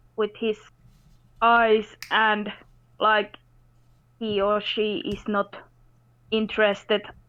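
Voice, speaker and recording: A woman with a non-native accent speaks very slowly at a fairly high pitch. Her intonation is monotone and flat, with long, frequent pauses. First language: not English. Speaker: caller. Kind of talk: casual chat. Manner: halting, searching for words.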